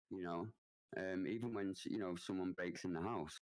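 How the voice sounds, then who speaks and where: With a Mancunian accent, a man talks at a fairly low pitch with ordinary pitch variation. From northern England, Manchester. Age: 30s. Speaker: Twitch streamer. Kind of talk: podcast interview. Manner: halting, many fillers and restarts.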